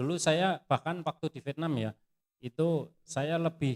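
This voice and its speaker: A man with a strong Javanese accent, ordinary pitch variation, and a dry, close sound with no echo. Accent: strong Javanese (medok) accent in English. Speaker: footwear industry pattern engineer. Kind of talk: sharing session interview.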